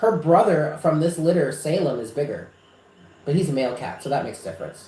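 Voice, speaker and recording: Speaking with an American accent, a man talks at a fairly quick pace in an animated tone, with audible room echo. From New York, Westchester. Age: 30s. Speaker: psychic reader. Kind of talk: casual chat. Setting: live stream.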